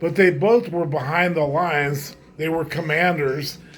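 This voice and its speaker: A man talks at a fairly slow pace with a fairly high pitch. Music plays in the background, and the room echo is audible. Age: 70s. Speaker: gaming vlogger. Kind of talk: casual monologue vlog. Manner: halting, repetitive.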